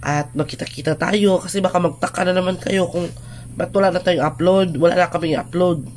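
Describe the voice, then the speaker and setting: Speech at a moderate pace is heard with noticeable background noise underneath. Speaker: vlogger. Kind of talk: casual vlog talk to viewers. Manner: halting, with fillers.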